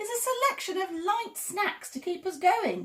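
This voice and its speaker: A woman's squeaky, put-on character voice, extremely high in pitch, with lively intonation at a moderate pace. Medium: read story. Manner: brisk, matter-of-fact.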